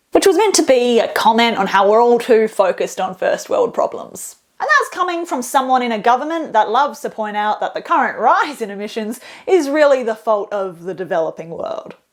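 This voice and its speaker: In an Australian accent, a woman speaks in an upbeat tone at a high pitch and a fairly quick pace, with very wide pitch swings. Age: 20s. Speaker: political journalist and stand-up comedian. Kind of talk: comedic political explainer to camera. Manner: casual, upbeat, jokey.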